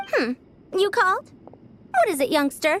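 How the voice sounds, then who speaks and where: Putting on a squeaky character voice, a woman talks at a moderate pace at an extremely high pitch, with very wide pitch swings. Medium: video game. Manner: formal, old-fashioned, self-assured.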